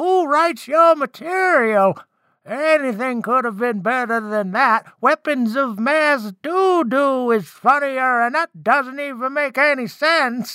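A high, put-on character voice at a fairly slow pace, on a very clean recording with a silent background. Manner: scolding, sarcastic.

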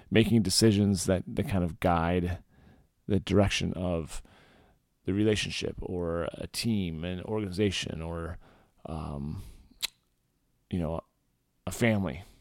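A man speaks with a very deep, low pitch. His pace is fairly slow, with long, frequent pauses. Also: ordinary pitch variation. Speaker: men's coach podcast host. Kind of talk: solo podcast monologue about leadership. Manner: casual, conversational, with filler words.

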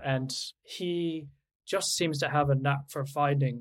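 The voice is somewhat breathy, with a Canadian accent. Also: man. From Canada. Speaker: literary translator. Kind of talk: interview.

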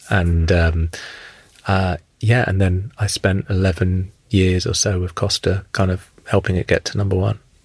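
Speaking in a very deep, low pitch with a southern English accent, a man delivers flat, monotone intonation at a moderate pace, sounding somewhat breathy on a very clean recording with a silent background. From England, Luton. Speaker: food chain executive. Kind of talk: interview. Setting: studio. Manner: halting, many fillers.

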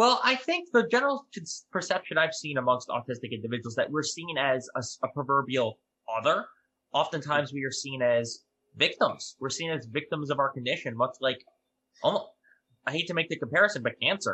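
A man's fairly high voice with an American accent, lively intonation and a plain, everyday voice. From New York. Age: 20s. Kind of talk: interview.

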